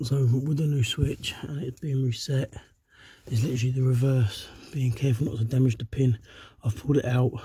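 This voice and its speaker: Fairly quick speech comes from a man with a dark, mellow tone. His voice is somewhat breathy. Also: medium pitch for a man. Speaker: DIY car mechanic. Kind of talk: how-to tutorial talk to camera. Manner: casual, chatty.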